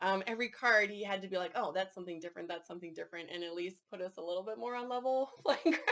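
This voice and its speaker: A woman with a medium pitch speaks very fast in a Canadian accent, with hardly any pauses and ordinary pitch variation. Noticeable background noise is present. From Canada. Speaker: board game reviewer. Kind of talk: casual review chat.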